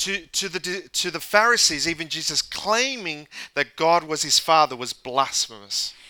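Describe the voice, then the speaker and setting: Speaking very slowly, a man uses a high pitch with a bright, sharp tone and lively intonation. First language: English (speaking French). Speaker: pastor. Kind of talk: sermon. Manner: halting.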